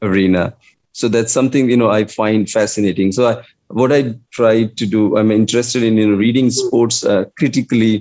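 With an Indian accent, a man speaks at a fairly quick pace and a medium pitch, his tone dark and mellow, his intonation fairly even and his loudness very even. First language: Hindi. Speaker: English professor. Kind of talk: interview conversation. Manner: hesitant, filler-heavy.

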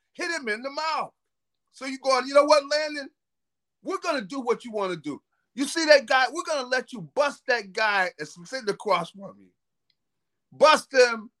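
In a raised, projected voice with a bright, sharp tone, the speaker moves at a moderate pace with lively intonation and big swings in loudness, the sound dry and close with no echo. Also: man. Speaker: football analyst. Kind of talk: casual sports analysis chat.

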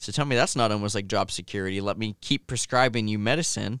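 Recorded dry and close with no echo, a man speaks with a Midwestern American accent at a moderate pace. His pitch is medium with ordinary variation, and the recording is very clean, with a silent background. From Ohio, Logan. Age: 20s. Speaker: gamer and streamer. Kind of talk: casual chat. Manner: hesitant, many fillers.

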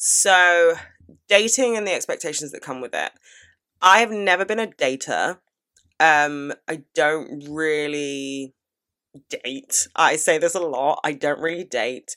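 Delivered in a British accent at a fairly slow pace, the speech has an animated tone, lively intonation, big swings in loudness and long, frequent pauses, on a very clean recording with a silent background. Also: woman, very deep, low pitch for a woman. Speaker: podcast host. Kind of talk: casual advice Q&A monologue.

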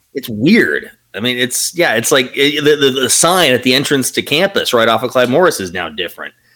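With lively intonation and vocal fry, a man speaks at a moderate pace in a medium-pitched voice. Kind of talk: casual banter, profane. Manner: animated, laughing.

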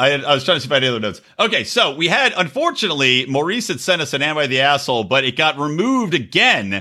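Talking at a very fast pace with very wide pitch swings, a man with a fairly high pitch, vocal fry and a bright, sharp tone is heard in a very clean recording with a silent background. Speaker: podcast co-host. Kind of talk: casual chat.

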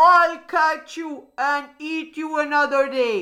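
A woman's put-on character voice, high-pitched with a bright, sharp tone, slow in pace, with ordinary pitch variation.

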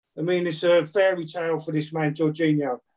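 A man with a southern English accent speaks at a fairly slow pace. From southern England (Brighton). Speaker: football fan guest. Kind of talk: casual interview. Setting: call.

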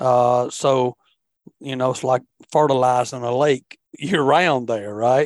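A man with a Southern US accent at medium pitch, very slow with long, frequent pauses and fairly even intonation, in a dry, close sound with no echo. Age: 50s. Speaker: fishing podcast host. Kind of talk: casual chat.

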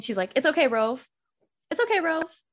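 A woman with an American accent, a plain, everyday voice, ordinary pitch variation and a fairly quick pace. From US. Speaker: podcast co-host. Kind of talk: casual chat.

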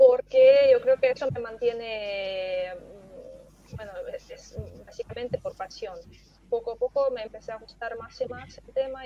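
A woman is heard here. Her pace is moderate. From Belarus. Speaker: data professional, former English teacher. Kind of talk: casual panel chat. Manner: halting, many fillers.

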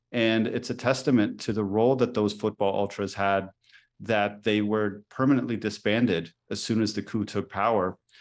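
Delivered at a moderate pace with fairly even intonation, this is an unremarkable speaking voice over a quiet background. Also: man, fairly low pitch for a man. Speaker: professor and author. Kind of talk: interview.

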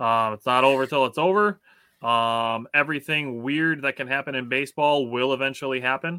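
With an American accent, a man talks at a moderate pace and medium pitch, his bright, sharp tone and ordinary pitch variation captured in a dry, close sound with no echo on a very clean recording with a silent background. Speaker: sports podcast host. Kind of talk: casual chat.

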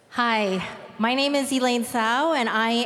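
This woman has an unremarkable speaking voice with a fairly high pitch. She talks at a moderate pace with fairly even intonation. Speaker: civic club board president, moderator. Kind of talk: formal moderation. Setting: stage with audience.

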